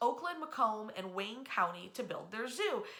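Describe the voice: A woman's fairly high pitch with big swings and a bright, sharp tone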